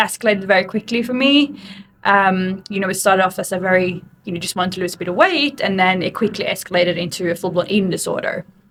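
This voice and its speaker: In an Australian accent, a woman talks at a very fast pace. Her pitch is medium with ordinary pitch variation. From Sweden. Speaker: fitness coach. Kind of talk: interview.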